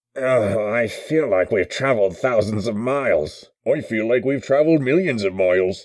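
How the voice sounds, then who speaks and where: The voice is a man's, set at a medium pitch. He is doing a put-on character voice. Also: moderate pace, hardly any pauses, quiet background. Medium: voice reel. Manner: frantic, shouting.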